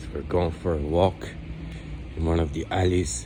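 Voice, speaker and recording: The recording has audible room echo. A man speaks at a very slow pace with ordinary pitch variation. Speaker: travel vlogger cycling solo. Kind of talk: casual vlog narration. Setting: outdoors at night, walking city streets. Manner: hesitant, filler-heavy.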